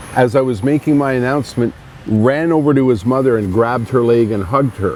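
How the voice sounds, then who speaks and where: Speech with an ordinary rise and fall in pitch, noticeable noise underneath. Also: man. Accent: Montreal. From Montreal, Quebec. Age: 60s. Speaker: radio host. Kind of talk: interview. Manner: halting, many restarts.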